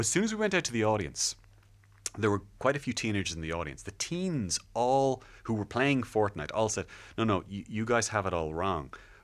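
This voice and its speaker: Very wide pitch swings from a man with a fairly low pitch, moving at a fairly quick pace. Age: 40s. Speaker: technology journalist and podcast host. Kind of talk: interview. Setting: studio.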